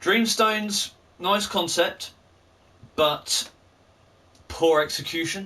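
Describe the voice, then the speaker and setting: Raising and projecting his high-pitched voice, a man speaks very slowly with a bright, sharp tone, ordinary pitch variation, and long, frequent pauses. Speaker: gaming youtuber. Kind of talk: game review commentary.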